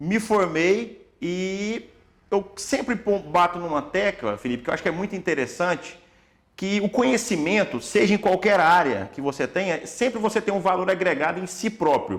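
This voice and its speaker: Noticeable background noise sits behind a man with a high pitch. He speaks at a moderate pace with ordinary pitch variation. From Tocantins, Brazil. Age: 30s. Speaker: orthopedic doctor. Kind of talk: podcast interview.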